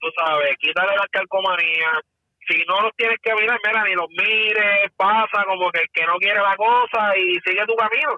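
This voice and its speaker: A man speaks with a high voice. His loudness stays very even. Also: ordinary pitch variation, moderate pace. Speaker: former police officer, firearms instructor. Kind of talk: casual chat.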